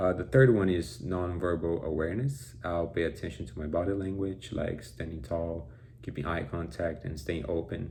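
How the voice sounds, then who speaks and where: The speaker has a Brazilian Portuguese accent and a moderate pace. Room echo is audible. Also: man. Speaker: college student. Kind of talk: class presentation. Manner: halting, with fillers and repetitions.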